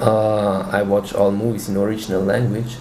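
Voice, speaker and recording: Fairly low male voice with fairly even intonation at a moderate pace, amid audible room echo and noticeable background noise. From Switzerland. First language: Swiss German. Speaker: language learner. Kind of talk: interview.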